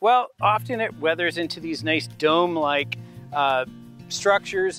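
Faint background music beneath a man's dry voice with no echo. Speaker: geologist guide. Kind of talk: explanatory field commentary. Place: open country. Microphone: lapel.

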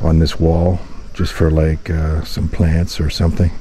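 A man's very deep, low voice comes flat and monotone at a fairly slow pace, with a dry, echo-free sound and light background noise. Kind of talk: casual vlog chat. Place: open country. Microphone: phone near.

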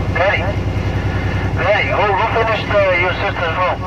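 Loud background noise runs under a man talking at a moderate pace. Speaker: CB radio operator. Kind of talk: casual radio chat. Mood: joking complaint about family. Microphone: two way radio.

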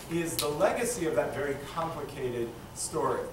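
Noticeable background noise and audible room echo surround a man. His pitch is fairly high and his pace moderate. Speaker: rabbi and teacher moderating a public talk. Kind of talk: moderated public conversation. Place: hall. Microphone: camera far.

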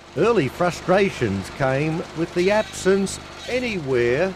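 Fairly slow, high-pitched speech from a man, with lively intonation and noticeable background noise. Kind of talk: TV documentary narration.

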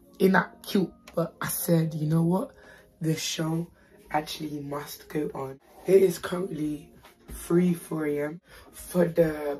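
Whispering very slowly, a woman speaks in a raspy voice with long, frequent pauses. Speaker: YouTube haul vlogger. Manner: whispering, late at night.

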